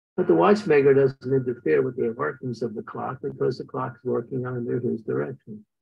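Quick-paced and husky with a rough edge, a man talks with vocal fry at a fairly quick pace. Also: medium pitch for a man, fairly even intonation.

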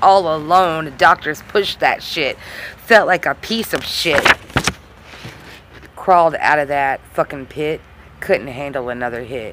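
A woman's very deep, low voice with lively intonation, a fairly slow pace, long and frequent pauses, a dry sound with no echo and noticeable background noise. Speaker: amateur poet vlogger. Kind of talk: slam poetry reading. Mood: raw, confessional, intense. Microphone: phone near.

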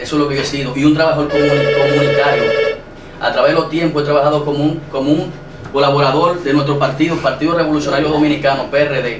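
Over noticeable background noise, a man's fairly high voice moves along with fairly even intonation. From Dominican Republic, Santo Domingo. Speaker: local political candidate. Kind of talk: TV interview. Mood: defensive, arguing his case. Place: studio.

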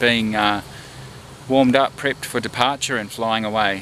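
A man speaks at a fairly quick pace with ordinary pitch variation. The sound is dry with no echo, and there is light background noise. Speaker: pilot vlogger. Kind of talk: casual vlog chat. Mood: relaxed, reminiscing. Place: open country. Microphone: phone near.

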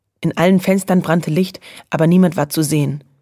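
Her voice very deep and low, a woman speaks at a moderate pace with fairly even intonation. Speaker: audiobook narrator. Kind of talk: children's audiobook reading.

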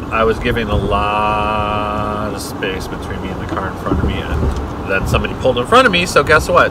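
Over loud background noise, a man talks at a fairly quick pace with hardly any pauses. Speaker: driver vlogger. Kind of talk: casual vlog chat. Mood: jokey, relaxed. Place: car. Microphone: camera far.

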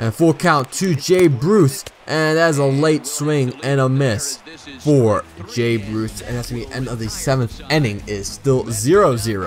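With music in the background, a man of medium pitch speaks at a fairly slow pace with lively intonation. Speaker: video game YouTuber. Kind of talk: live sports commentary over gameplay, play-by-play of pitches and counts. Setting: gaming video voiceover, playing a baseball game. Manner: steady play-by-play delivery, calling counts and strikeouts, casual and a bit halting; enthusiastic and fan-like, praising the pitcher.

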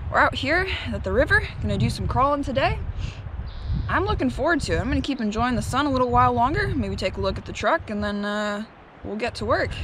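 Against noticeable background noise, a woman talks at a very fast pace, the sound dry with no echo. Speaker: RC hobby vlogger. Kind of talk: casual vlog chat. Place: waterside. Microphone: phone near.

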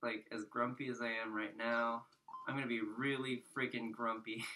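A man speaks at a fairly slow pace. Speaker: gaming streamer. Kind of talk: let's play commentary. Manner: sarcastic; stammering, repeats words.

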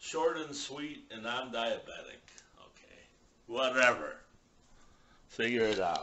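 A man speaks at a very slow pace with long, frequent pauses and big swings in loudness. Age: 60s. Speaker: YouTuber. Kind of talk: vlog monologue. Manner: rambling. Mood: irritated, dismissive.

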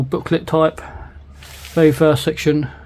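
A fairly high-pitched man with a British accent amid noticeable background noise. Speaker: scale model kit reviewer. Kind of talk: product review tutorial. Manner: casual, rambling.

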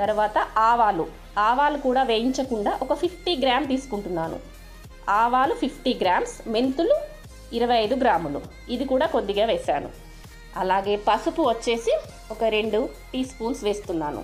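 Faint music plays in the background. Over it, a woman speaks at a high pitch. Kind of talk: cooking tutorial. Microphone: phone near.

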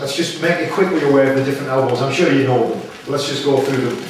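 Strong room echo and light background noise fill the recording. A man speaks with ordinary pitch variation. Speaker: martial arts instructor. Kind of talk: instruction to a class. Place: gym. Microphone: camera far.

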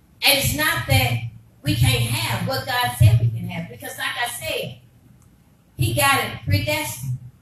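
Audible room echo and light background noise surround a woman's voice. She speaks fairly slowly in an animated tone. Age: 50s. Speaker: pastor. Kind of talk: sermon. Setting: church. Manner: animated, repetitive preaching cadence. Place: church.

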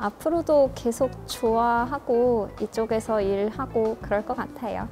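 Clear music plays in the background. A woman speaks very slowly at a fairly high pitch with ordinary pitch variation. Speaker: voice actor. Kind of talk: interview answer. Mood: warm, smiling. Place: classroom.

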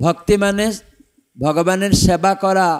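With a non-native accent, a man talks at a high pitch with ordinary pitch variation. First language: not Bengali (speaking Bengali). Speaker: monk and spiritual teacher. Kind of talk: religious discourse. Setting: temple stage with audience.

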